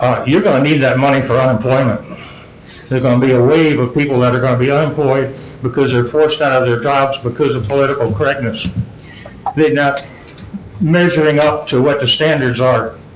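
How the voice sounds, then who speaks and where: Amid noticeable background noise and audible room echo, a fairly high-pitched man talks at a fairly quick pace with very even loudness and long, frequent pauses. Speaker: public commenter at council meeting. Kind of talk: public comment. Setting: council meeting. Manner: voice rises when excited.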